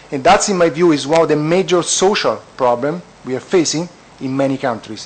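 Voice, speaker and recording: Against noticeable background noise, a man with an Italian accent speaks at a fairly high pitch and a moderate pace with ordinary pitch variation. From Italy. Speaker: economist at an international organization. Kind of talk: panel discussion. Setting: conference panel.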